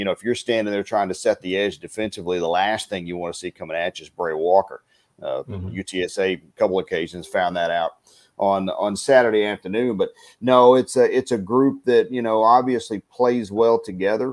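A man with a Texan accent and a fairly low pitch talks at a fairly quick pace with ordinary pitch variation. The very clean recording has a silent background and a dry, close sound with no echo. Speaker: play-by-play announcer. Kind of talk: sports commentary.

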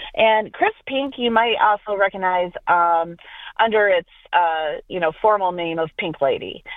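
In a normal speaking voice, the speaker goes at a fairly slow pace with ordinary pitch variation. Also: woman, medium pitch for a woman. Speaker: agricultural industry director. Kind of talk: interview.

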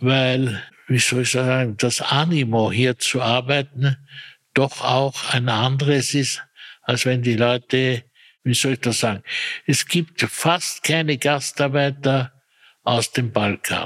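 At a very slow pace, a man with a Viennese accent speaks in a medium pitch with fairly even intonation and very even loudness, the sound dry and close with no echo. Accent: Viennese Austrian German. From Austria, Vienna area. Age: 80s+. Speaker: retired personnel manager. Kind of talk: interview. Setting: echoey room.

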